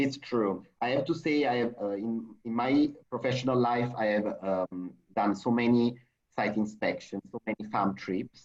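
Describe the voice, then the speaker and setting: A man with an Italian accent speaks at a fairly slow pace, using ordinary pitch variation. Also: medium pitch for a man. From Italy. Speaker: hotel sales representative. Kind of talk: video webinar interview. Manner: animated.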